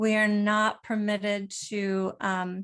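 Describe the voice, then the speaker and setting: Over a quiet background, a woman with an American accent speaks very slowly in a medium pitch and a monotone, flat intonation. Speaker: nonprofit co-founder and author. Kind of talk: panel discussion.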